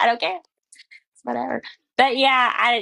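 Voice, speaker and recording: With a Southern US accent, a woman talks at a fairly quick pace, her voice dry and close with no echo. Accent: Southern US accent, stronger than co-host's. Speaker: livestream host. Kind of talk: casual chat.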